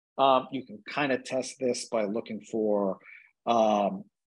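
Speaking with a New York accent, a man keeps to a medium pitch. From New York City (Brooklyn / Staten Island). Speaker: cardiologist. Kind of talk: casual interview chat. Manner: halting.

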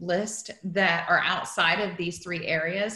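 In a quiet background with audible room echo, a woman speaks fairly slowly at a fairly low pitch. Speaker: event host. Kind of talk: meeting introduction. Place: home room. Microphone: video call.

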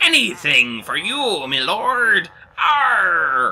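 A very slow put-on character voice from a man. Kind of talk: pirate speech. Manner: eager, subservient.

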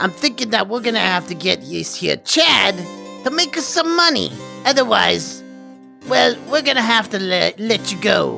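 Over clear background music, a female-sounding put-on character voice speaks at a moderate pace with a fairly high pitch. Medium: role play.

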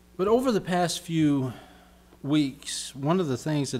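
Music plays behind a man speaking at a moderate pace. His intonation is lively. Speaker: pastor. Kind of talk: sermon preaching to congregation. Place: church. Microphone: podium.

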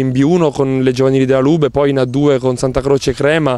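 A man in a monotone, flat intonation, with dry sound and no echo. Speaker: professional volleyball player. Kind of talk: interview. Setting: on camera. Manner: halting. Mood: calm, thoughtful. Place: garden. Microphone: handheld.

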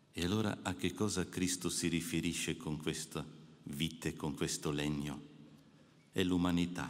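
Very deep and low in pitch, a man speaks at a fairly slow pace with very even loudness and fairly even intonation. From Alpine mountain region. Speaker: priest giving a retreat meditation. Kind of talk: spiritual meditation address. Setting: audience of clergy and the Pope. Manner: formal. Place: hall. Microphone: podium.

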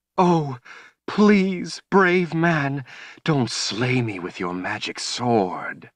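This put-on character voice moves at a very slow pace. Its pitch swings very widely. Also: man, fairly high pitch for a man. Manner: mocking, feigning fright.

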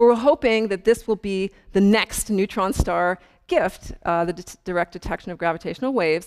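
The background stays quiet as a woman talks. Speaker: astrophysicist giving public lecture. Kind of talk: lecture. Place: hall. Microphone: lapel.

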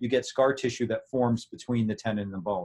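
A man talks fairly quickly at medium pitch in an ordinary speaking voice, his pitch variation ordinary. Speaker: orthopedic surgeon. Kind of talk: interview.

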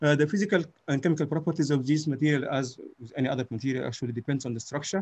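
A man with a fairly high pitch and a somewhat breathy voice talks at a very fast pace. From Sudan. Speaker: physics professor. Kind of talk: conference talk.

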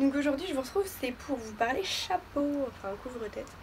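A woman talks with lively intonation at a high pitch. There is light background noise. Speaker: beauty vlogger. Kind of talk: casual talk to camera, fashion haul. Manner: playful, chatty. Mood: playful, joking. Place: home room. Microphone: phone near.

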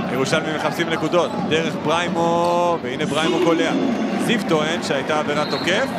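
Loud background noise surrounds a man talking at a moderate pace. His voice sounds dry, with no echo. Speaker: sports commentator. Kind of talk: live sports commentary. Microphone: headset.

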